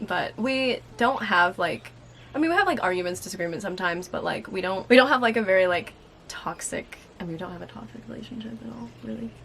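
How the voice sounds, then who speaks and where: A woman talks at a very fast pace with medium pitch, very wide pitch swings and big swings in loudness. Noticeable background noise is present. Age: 20s. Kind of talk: casual talk to camera.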